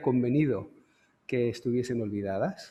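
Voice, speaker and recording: At a moderate tempo, a man talks in an unremarkable speaking voice, his pitch shifting in an ordinary way. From Canary Islands, Santa Cruz de Tenerife. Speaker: lecturer, photographer. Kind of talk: lecture.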